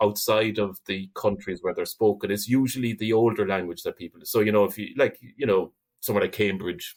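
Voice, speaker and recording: A man with an Irish accent speaks at a fairly quick pace, his fairly low pitch moving with ordinary variation. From Ireland. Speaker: linguist and university lecturer. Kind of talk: interview conversation. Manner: hesitant, many repetitions.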